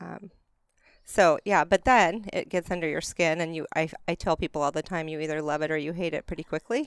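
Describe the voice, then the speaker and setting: A woman speaks at a fairly quick pace with a fairly low pitch and ordinary pitch variation, in a normal speaking voice. The recording is very clean with a silent background, and the sound is dry and close with no echo. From Arizona, rural. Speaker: school transportation administrator. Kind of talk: casual chat. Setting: outdoors.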